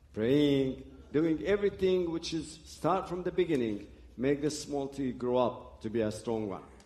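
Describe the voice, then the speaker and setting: The voice has a dark, mellow tone and an Arabic accent. It moves at a fairly slow pace with lively intonation. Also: man, fairly high pitch for a man. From Lebanon (Beirut). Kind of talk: testimony. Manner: halting.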